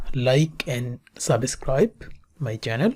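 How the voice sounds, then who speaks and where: A woman with a non-native accent speaks very slowly in a somewhat breathy voice. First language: not English. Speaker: statistics tutor. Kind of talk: tutorial.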